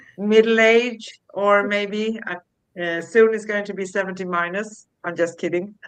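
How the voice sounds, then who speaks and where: This woman has an unremarkable speaking voice at a medium pitch. She speaks fairly slowly with fairly even intonation. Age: 60s. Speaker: spiritual talk show co-host. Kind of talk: casual chat.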